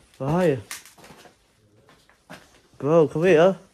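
A man talks with ordinary pitch variation over light background noise. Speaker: urban explorer vlogger. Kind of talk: casual vlog chat. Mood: tense, cautious excitement. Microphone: phone near.

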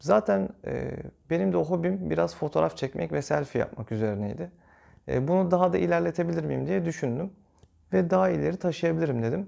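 A man talks at a fairly quick pace in a dark, mellow tone, his pitch swinging very widely against a quiet background. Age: 30s. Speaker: YouTuber. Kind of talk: channel intro vlog. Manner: hesitant, frequent fillers. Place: home room.

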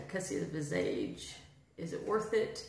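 Audible room echo surrounds the woman as she talks. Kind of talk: casual vlog chat. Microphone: phone near.

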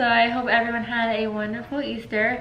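At a moderate pace, a woman speaks with fairly even intonation amid audible room echo and light background noise. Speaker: vlogger. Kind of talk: casual vlog chat. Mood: relaxed, chatty. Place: kitchen. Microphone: camera far.

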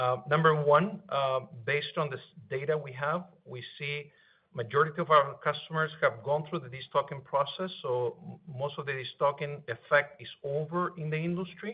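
A man talks in an ordinary speaking voice at a moderate pace. His pitch is fairly high, varies in an ordinary way, and his loudness swings widely. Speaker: business executive. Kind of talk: earnings call Q&A. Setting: phone conference call.

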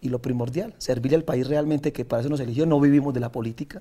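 Speaking at a very fast pace, a man sounds somewhat breathy, with a dark, mellow tone and fairly even intonation. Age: 30s. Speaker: senator and trova singer; senator. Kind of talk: interview. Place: studio. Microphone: lapel.

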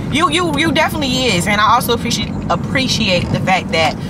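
Fairly quick delivery over background music, the sound dry with no echo. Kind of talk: casual conversation. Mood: relaxed, friendly. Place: car. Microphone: camera far.

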